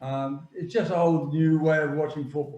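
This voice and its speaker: This man's voice is fairly high, somewhat breathy and dark and mellow in tone, moving at a moderate pace with fairly even intonation. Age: 70s. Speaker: football agent. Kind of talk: interview. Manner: halting.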